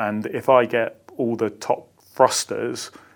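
Monotone and flat, a man's intonation barely moves. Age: 40s. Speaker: army senior soldier. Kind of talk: interview. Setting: office.

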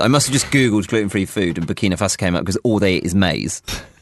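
A man with a British accent talks at a very fast pace. His fairly low pitch shows ordinary variation. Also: dry, close sound with no echo. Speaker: radio host. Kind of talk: casual chat.

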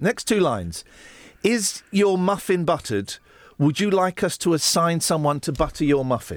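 In a southern English accent, a man with a high pitch speaks at a moderate pace, his pitch swinging very widely while his loudness stays very even on a very clean recording with a silent background. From Buckinghamshire, England. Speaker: breakfast radio host. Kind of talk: casual chat. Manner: animated.

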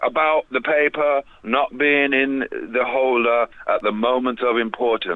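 Speaking in a London accent at a fairly slow pace, a man keeps a medium pitch, fairly even intonation and very even loudness. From England. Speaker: rapper. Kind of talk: interview. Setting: phone call.

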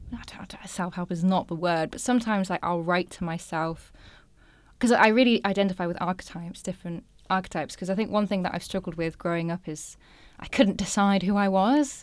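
A woman with a Yorkshire accent speaks at a fairly quick pace and medium pitch, with ordinary pitch variation and big swings in loudness. The recording is very clean, with a silent background. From northern England, Filey, North Yorkshire. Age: 20s. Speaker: poet and writer. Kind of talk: casual interview chat.

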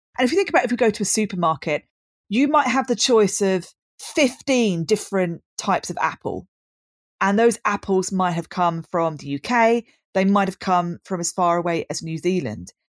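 A woman with a southern English accent and lively intonation, in a very clean, dry, close recording with no echo and a silent background. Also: medium pitch for a woman, moderate pace. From southern England, Brighton. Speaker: design lecturer. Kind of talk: casual interview.

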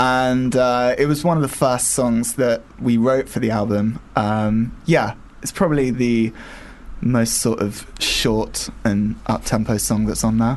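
The speaker has an ordinary speaking voice, a fairly slow pace and ordinary pitch variation. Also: man, medium pitch for a man. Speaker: indie band member. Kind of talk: casual interview.

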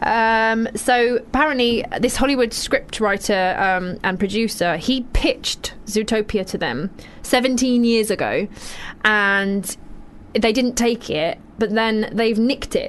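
A woman with a British accent, fairly high pitch, ordinary pitch variation and a very slow pace. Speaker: radio host. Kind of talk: casual chat. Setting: studio. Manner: animated.

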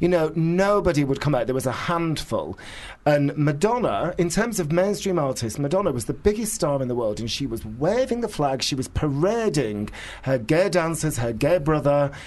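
A man with a northern English accent speaks at a moderate pace, his fairly high pitch swinging very widely. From northern England. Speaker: author and media figure. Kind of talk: casual interview chat. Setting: studio. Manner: animated, ranting.

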